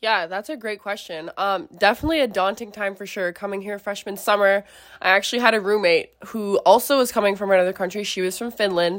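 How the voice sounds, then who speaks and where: A woman at a medium pitch talks at a very fast pace with hardly any pauses, ordinary pitch variation, and big swings in loudness. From Quebec, Canada (near Montreal). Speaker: student athlete. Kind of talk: interview.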